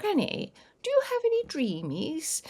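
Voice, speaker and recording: The voice is a put-on character voice with an extremely high pitch. It moves at a moderate pace. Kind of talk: cat-like. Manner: sweet and coaxing.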